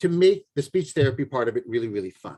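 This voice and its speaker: A man talks at a very fast pace. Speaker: parenting coach. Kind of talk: lecture.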